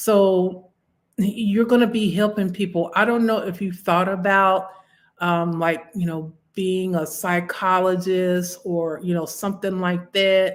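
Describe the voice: A woman at a fairly low pitch, fairly slow pace, and little pitch movement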